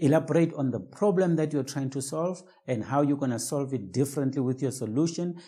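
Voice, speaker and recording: A man's fairly high, somewhat breathy voice with a dark, mellow tone and lively intonation. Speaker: business coach. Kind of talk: tutorial.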